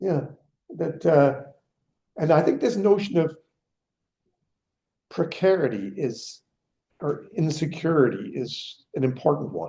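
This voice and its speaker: Fairly slow and full of long, frequent pauses, a man speaks with a dark, mellow tone and vocal fry. His pitch is fairly high and his intonation lively. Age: 70s. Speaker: economics professor emeritus, seminar speaker. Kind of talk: Q&A discussion after a lecture.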